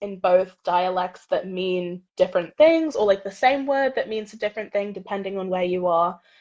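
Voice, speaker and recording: A woman with an American accent talks at a moderate pace. Her intonation is lively. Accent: American, switches to British with family. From England, Watford. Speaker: university student. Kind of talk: interview.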